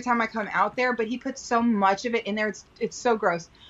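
A woman's fairly high-pitched voice with a Texan accent at a fairly quick pace. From Texas. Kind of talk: casual chat. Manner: animated.

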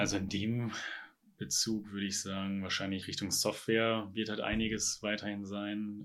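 The tone is bright and sharp, the intonation monotone and flat. The recording is very clean, with a silent background. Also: man. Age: 20s. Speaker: software company founder. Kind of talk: interview.

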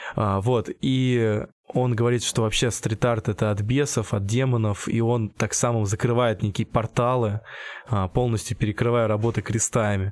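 Keeping very even loudness, a man with a medium pitch speaks at a moderate pace with fairly even intonation. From Russia, Tambov region (Michurinsk). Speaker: street artist. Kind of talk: interview. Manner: halting.

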